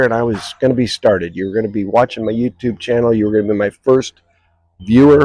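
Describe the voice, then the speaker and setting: Recorded dry and close with no echo, a man with a dark, mellow tone and medium pitch talks at a very fast pace, his intonation fairly even. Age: 60s. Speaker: retired mailman. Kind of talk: casual talk to camera. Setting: outdoors. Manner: hesitant, rambling.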